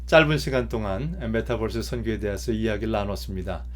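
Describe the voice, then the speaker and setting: Audible room echo surrounds this man as he talks at a moderate pace. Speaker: professor. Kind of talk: lecture. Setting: video call. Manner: hesitant fillers.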